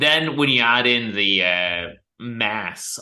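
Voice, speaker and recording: The voice has a bright, sharp tone and very wide pitch swings. Room echo is audible. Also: man. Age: 30s. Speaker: podcast host. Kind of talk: interview.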